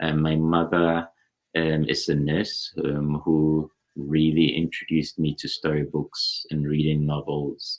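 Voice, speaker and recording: A man's very deep, low voice, monotone and flat, at a fairly slow pace. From Ghana. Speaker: neurosurgeon. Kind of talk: interview. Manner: halting, many fillers.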